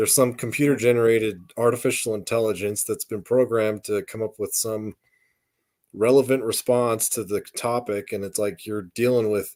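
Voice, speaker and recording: A normal speaking voice with an American accent comes through at a moderate pace and fairly even intonation on a very clean recording with a silent background. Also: man, medium pitch for a man. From western US. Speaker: podcast co-host. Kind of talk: casual chat.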